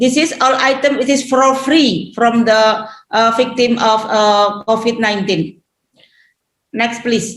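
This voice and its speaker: A woman with an Indonesian accent and a fairly high pitch speaks very slowly at very even loudness, with audible room echo. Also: ordinary pitch variation. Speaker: regional government head. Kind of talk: conference presentation. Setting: webinar. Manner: halting.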